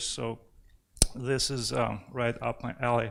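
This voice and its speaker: This is a man talking. His pace is very slow. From Belarus, Hrodno. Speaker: economics professor. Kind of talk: conference presentation. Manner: hesitant with many fillers.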